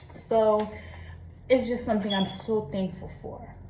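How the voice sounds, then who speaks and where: With audible room echo and noticeable background noise, a woman speaks at a fairly high pitch. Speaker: vlogger. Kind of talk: personal confession monologue. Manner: casual, conversational.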